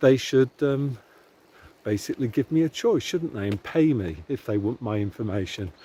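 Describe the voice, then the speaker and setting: At a moderate pace, a man with a medium pitch, a dark, mellow tone and lively intonation sounds somewhat breathy, captured in a very clean recording with a silent background and a dry, close sound with no echo. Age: 60s. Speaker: commentator. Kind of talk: opinion monologue. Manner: halting.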